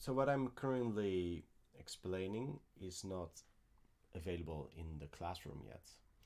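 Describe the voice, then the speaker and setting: Soft-spoken and at a fairly slow pace, a man talks in a very deep, low pitch with lively intonation and long, frequent pauses. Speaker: piano teacher. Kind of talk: live Q&A stream. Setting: home studio, livestream. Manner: halting.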